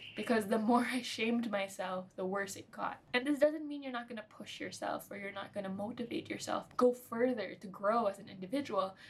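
A woman's fairly quick delivery with hardly any pauses, big swings in loudness and ordinary pitch variation. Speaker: nutrition vlogger. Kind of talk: casual vlog chat. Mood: reflective, candid, some laughs. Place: home room.

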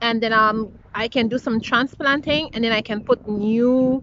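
Fairly slow and high-pitched, a woman talks with fairly even intonation, the sound dry with no echo and light background noise. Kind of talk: casual vlog chat. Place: garden. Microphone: phone near.

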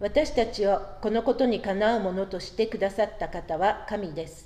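Moderate pace from a woman's voice. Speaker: worship leader. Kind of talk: prayer. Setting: church. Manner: formal. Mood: calm, reverent.

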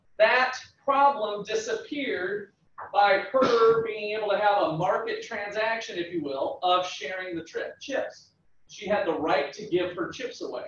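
Lively intonation comes through at a fairly slow pace, with audible room echo. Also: man. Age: 40s. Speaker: economics professor. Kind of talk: lecture. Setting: classroom with students. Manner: halting. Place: classroom. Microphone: camera far.

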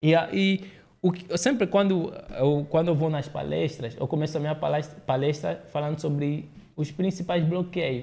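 A fairly high-pitched man speaks with ordinary pitch variation and a dark, mellow tone. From Angola, partly raised in Brazil. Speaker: public speaker; podcast guest or host. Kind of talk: interview conversation. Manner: halting, frequent repetitions. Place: studio. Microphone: studio mic.

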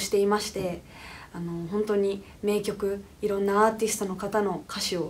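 A woman talks at a moderate pace with vocal fry. Light background noise can be heard. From Japan, Fukuoka; Japan. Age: 20s. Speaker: singer. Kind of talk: recorded congratulatory comment. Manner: hesitant, many fillers.

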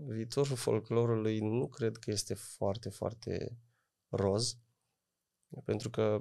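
Very slow, monotone, flat speech from a man with a dark, mellow tone and fairly low pitch, set against a quiet background. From Romania, Oradea (Bihor), parents from Moldova; Romania. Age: 30s. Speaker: folk singer and music producer; podcast guest. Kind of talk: interview. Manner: hesitant, many fillers. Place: studio. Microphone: studio mic.

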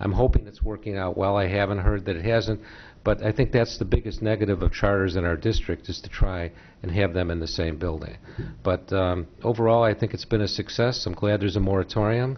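A man with a plain, everyday voice and an American accent speaks at a fairly quick pace, his fairly low pitch kept in fairly even intonation. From Chicago. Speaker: school board member, candidate; candidate. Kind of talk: candidate forum answers. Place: meeting room. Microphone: podium.

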